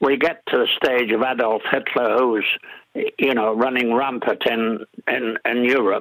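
This is a man speaking. He talks with an English accent. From northern England, Middlesbrough. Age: 80s+. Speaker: war veteran and retiree. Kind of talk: radio interview. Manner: halting.

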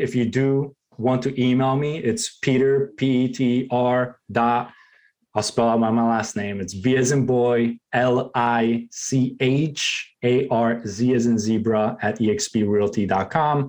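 With a non-native accent, a man speaks at a medium pitch. His intonation is fairly even and his loudness very even. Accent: foreign. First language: not English. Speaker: real estate agent. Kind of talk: interview.

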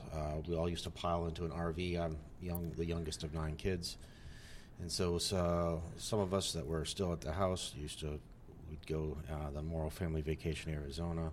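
A man with an American accent, very deep and low in pitch, monotone and flat, at a fairly quick pace amid audible room echo. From upstate New York. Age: 40s. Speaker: Air Force veteran. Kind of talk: casual chat.

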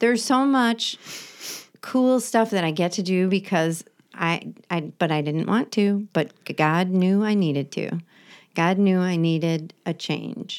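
With an ordinary speaking voice, a woman talks at a fairly slow pace with a medium pitch and ordinary pitch variation. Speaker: podcast host in recovery. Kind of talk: casual chat.

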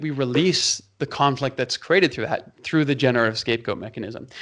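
A man with a Canadian accent has a plain, everyday voice, fairly high in pitch with ordinary pitch variation, over a quiet background. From Canada, Toronto. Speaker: pastor. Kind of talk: interview conversation.

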